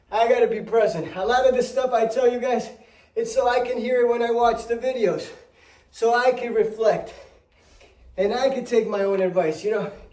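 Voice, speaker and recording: Speech at a moderate pace with fairly even intonation, set in a room with audible echo. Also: man, extremely high pitch for a man. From Spanish-speaking country, moved to US at about eight. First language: Spanish. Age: 30s. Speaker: fitness vlogger. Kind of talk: casual vlog talk while exercising.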